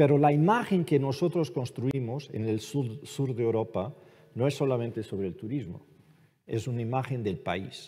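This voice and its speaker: Speaking at a moderate pace with a Portuguese accent, a man uses lively intonation in a somewhat breathy voice of medium pitch and dark, mellow tone, in a very clean recording with a silent background. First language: Portuguese (speaking Spanish). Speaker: ambassador. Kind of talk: panel discussion.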